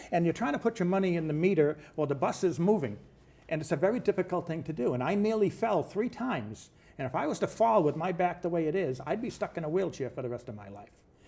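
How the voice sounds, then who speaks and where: Here a man with an American accent speaks at a very fast pace and a high pitch, his tone dark and mellow. His pitch swings very widely. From Brockton, Massachusetts, US. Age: 60s. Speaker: mayoral candidate. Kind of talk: interview. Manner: halting.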